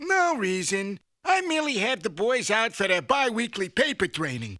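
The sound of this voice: Cartoonish character voice from a man, high-pitched, at a moderate pace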